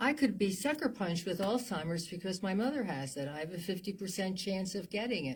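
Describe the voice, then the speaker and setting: A woman with an American accent speaks at a fairly quick pace with hardly any pauses. Her medium-pitched voice is somewhat breathy with lively intonation, on a very clean recording with a silent background. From US Northeast (New Jersey). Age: 80s+. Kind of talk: interview. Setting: studio.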